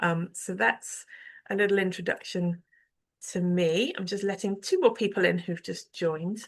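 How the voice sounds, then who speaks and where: Against a quiet background, a woman with a plain, everyday voice and medium pitch talks at a moderate pace. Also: fairly even intonation. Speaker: arts organisation director. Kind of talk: online event introduction. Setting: video call.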